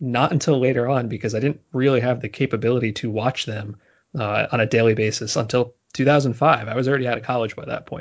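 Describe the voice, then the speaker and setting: Talking at a fairly quick pace, a man with an American accent has an ordinary speaking voice, a medium pitch and fairly even intonation. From New Jersey. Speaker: baseball writer. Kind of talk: casual interview. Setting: remote call, not in same room.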